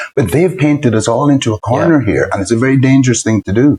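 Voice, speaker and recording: Somewhat breathy, a man speaks with an Irish accent. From Ireland. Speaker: politician, artist. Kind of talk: interview answer. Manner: clear, crisp.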